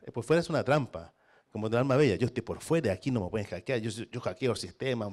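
A man speaking very fast, animated in tone and lively in intonation, against a quiet background. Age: 50s. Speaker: philosopher and professor; professor. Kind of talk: panel discussion. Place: classroom. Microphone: handheld.

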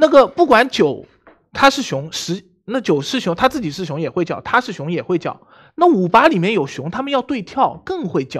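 The speaker sounds animated and talks at a moderate pace against a quiet background. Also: man. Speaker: game player. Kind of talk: game discussion. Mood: frustrated, arguing his case. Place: studio. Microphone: headset.

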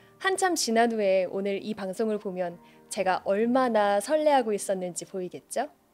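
Over faint background music, a woman speaks fairly slowly with lively intonation. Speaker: poetry reader, booktuber. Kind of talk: casual talk to listeners between poems. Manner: soft, calm. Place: studio. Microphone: studio mic.

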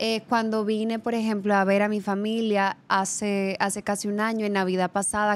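This woman speaks at a moderate pace in a medium pitch, her intonation monotone and flat. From Dominican Republic. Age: 20s. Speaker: model and actress; actress. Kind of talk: casual interview. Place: studio. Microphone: studio mic.

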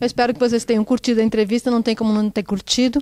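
A woman's fairly high-pitched voice with a dark, mellow tone against a quiet background. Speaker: interviewer. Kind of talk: casual interview. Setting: backstage. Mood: warm, friendly. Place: hall. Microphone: handheld.

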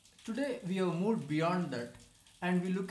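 A man speaks at a fairly quick pace with audible room echo. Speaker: presenter. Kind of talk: course promotion talk.

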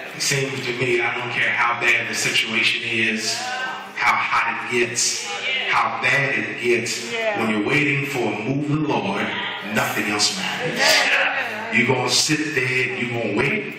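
A man speaks at a fairly slow pace with ordinary pitch variation. Music plays in the background, and the room echo is audible. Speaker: preacher. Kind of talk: sermon. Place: church. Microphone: camera far.

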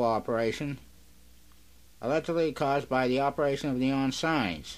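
With an ordinary speaking voice, a man talks at a moderate pace and fairly high pitch, his intonation fairly even. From Massachusetts, USA. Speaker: radio station owner and operator. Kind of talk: radio broadcast announcement. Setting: radio station, recorded off-air from a broadcast. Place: studio. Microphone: old recording.

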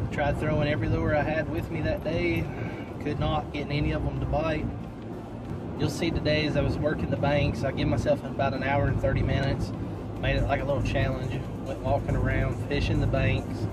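A man talks at a fairly quick pace over background music, the sound dry with no echo. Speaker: fishing vlogger. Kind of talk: casual vlog chat. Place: car. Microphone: phone near.

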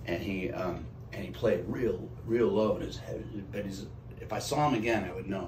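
A man speaks at a fairly low pitch with lively intonation. Light background noise sits behind him. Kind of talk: interview answer. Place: bathroom. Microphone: phone near.

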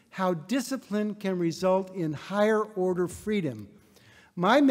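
Just plain reading aloud

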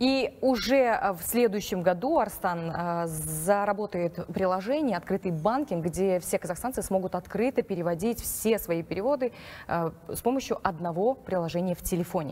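A woman's dark, mellow tone with lively intonation and big swings in loudness. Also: moderate pace. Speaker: news anchor. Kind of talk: news reading. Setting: studio. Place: studio.

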